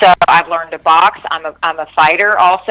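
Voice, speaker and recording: This woman speaks with a Texan accent. Her pitch is fairly low. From Texas, Dallas-Fort Worth area. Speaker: singer-songwriter. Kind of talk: interview.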